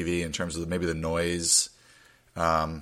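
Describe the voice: The voice is gravelly with a bright, sharp tone. It moves at a fairly slow pace. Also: man.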